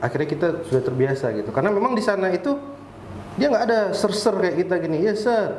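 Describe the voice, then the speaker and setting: A man talks at a fairly quick pace with lively intonation, with audible room echo and noticeable background noise. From Riau Islands, Indonesia. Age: 30s. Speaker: structural engineer. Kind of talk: podcast interview.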